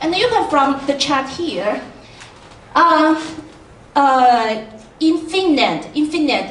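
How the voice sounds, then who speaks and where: A woman with a Chinese accent speaks at a very slow pace in a high voice with lively intonation and long, frequent pauses. Noticeable background noise and audible room echo fill the recording. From China. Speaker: education researcher. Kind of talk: panel talk presentation. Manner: halting.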